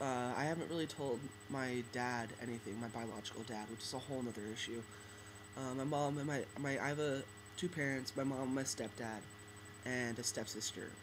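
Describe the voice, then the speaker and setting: A man talks fairly quickly and with fairly even intonation while noticeable background noise plays. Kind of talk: casual talk to camera. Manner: hesitant, many fillers. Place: home room. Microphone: webcam.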